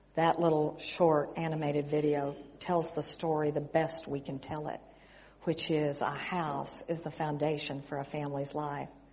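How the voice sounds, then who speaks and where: In an American accent, a woman with a very deep, low pitch talks at a moderate pace in a monotone, flat intonation, with audible room echo. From West Texas. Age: 60s. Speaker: missionary. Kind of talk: sermon.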